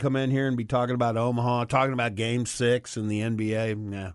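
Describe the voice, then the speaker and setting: A man at medium pitch, talking at a very fast pace over a quiet background. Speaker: sports radio co-host. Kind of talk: casual sports talk radio. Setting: radio studio.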